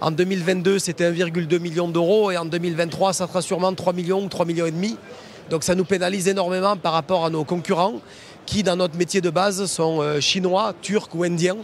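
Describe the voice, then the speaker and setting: Over noticeable background noise, a man with a Toulouse accent speaks at a high pitch and a fairly quick pace with fairly even intonation. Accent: southern French (Toulouse). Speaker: foundry managing director. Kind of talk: interview on trade show floor. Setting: trade show floor.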